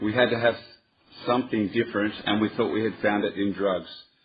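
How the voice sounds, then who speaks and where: With an Australian accent, a man talks at a medium pitch using fairly even intonation. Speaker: recovering addict at a workshop. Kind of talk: reading aloud. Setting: workshop with audience.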